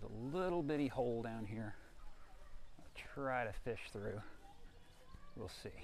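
A man speaks at medium pitch and a fairly slow pace. His intonation is lively, with vocal fry.

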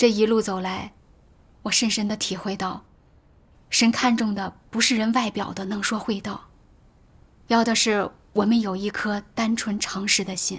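A woman with a fairly high, somewhat breathy voice talks at a fairly slow pace. Her intonation stays monotone and flat, broken by long, frequent pauses. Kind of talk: testimony. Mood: calm, sincere, reflective. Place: home room.

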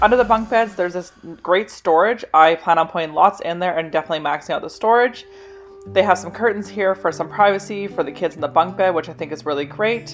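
A woman speaks at a very fast pace with a fairly low pitch and ordinary pitch variation. Faint music sits in the background. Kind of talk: casual tour narration. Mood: pleased, upbeat. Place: home room. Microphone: phone near.

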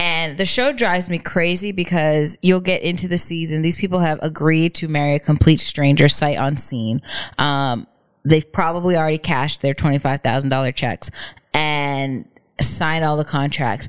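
A woman with a very deep, low pitch, against a quiet background. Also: ordinary pitch variation, moderate pace. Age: 30s. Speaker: podcast co-host. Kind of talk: casual chat. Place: home room. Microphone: studio mic.

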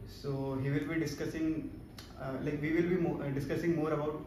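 A man speaks at a moderate pace over noticeable background noise, with audible room echo. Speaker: interviewer, channel host. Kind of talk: interview questions. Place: office. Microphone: camera far.

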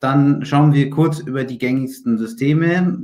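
Using an ordinary speaking voice, a man talks at a moderate pace with medium pitch and fairly even intonation. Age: 20s. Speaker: IT consultant and managing director. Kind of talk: webinar lecture. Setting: video call.

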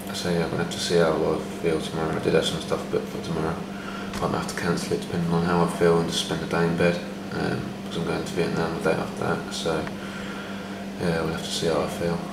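The speech moves at a very fast pace. Loud background noise fills the recording. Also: man. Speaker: traveler vlogger. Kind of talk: casual vlog chat. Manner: weak, low-energy sick voice. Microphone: phone near.

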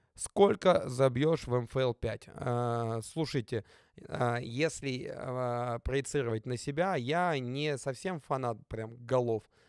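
A very slow-paced man, dry with no echo, over a quiet background. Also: ordinary pitch variation. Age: 30s. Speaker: football player and youtuber; youtuber. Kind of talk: casual vlog Q&A. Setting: studio. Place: home room. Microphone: studio mic.

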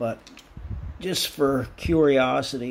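A man talks at a very slow pace amid noticeable background noise. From Pennsylvania, US. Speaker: model car hobbyist YouTuber. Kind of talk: casual hobby video update. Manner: halting, many fillers and restarts. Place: workshop. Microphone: phone near.

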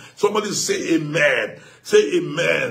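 Loud and at a very slow pace, a man speaks with a Nigerian accent and ordinary pitch variation. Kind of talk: fervent prayer and devotion, worship and prophetic declarations. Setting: online broadcast from a studio, addressing viewers. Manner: fervent, loud, rhythmic, repeating declarations with authority. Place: home room.

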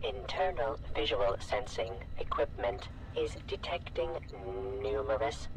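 A man puts on a robotic character voice at a fairly slow pace. Loud background noise fills the recording. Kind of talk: robotic, formal. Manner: slow, mechanical.

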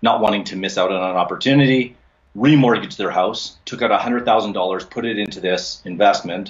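Over a quiet background, a man with a Canadian accent uses a normal speaking voice at a fairly low pitch, a moderate pace, and ordinary pitch variation. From Alberta, Canada. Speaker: commercial real estate investor; podcast guest. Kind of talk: interview. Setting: home office. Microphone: video call.

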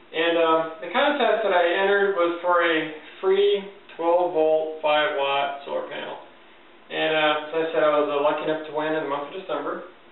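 A man's intonation stays fairly even while audible room echo hangs around his words. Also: fairly quick pace. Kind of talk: casual show-and-tell tutorial. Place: home room.

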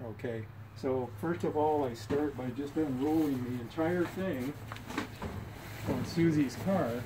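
A man talks fairly slowly, his pitch varying in an ordinary way, while noticeable noise fills the background. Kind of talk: tutorial. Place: garage. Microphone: camera far.

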